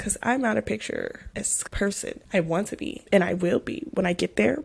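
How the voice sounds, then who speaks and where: Somewhat breathy, a woman speaks at a moderate pace and a medium pitch. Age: young. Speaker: podcast host. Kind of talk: casual talk to camera.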